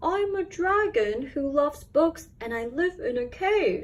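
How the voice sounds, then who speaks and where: At a fairly slow pace, the woman puts on a character voice pitched extremely high. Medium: read story. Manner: friendly, earnest.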